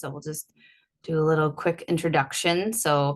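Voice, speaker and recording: Against a quiet background, a woman uses an ordinary speaking voice with a fairly low pitch at a moderate pace. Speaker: energy healing practitioner. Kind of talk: online workshop presentation.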